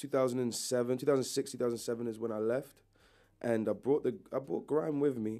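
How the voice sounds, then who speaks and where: A man speaks with a dark, mellow tone and ordinary pitch variation. The recording is very clean, with a silent background. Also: medium pitch for a man, fairly quick pace. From southern England (Brighton). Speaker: rapper. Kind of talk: interview.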